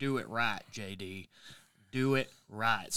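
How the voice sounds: Putting on a character voice, a man speaks in a gravelly, medium pitch with fairly even intonation.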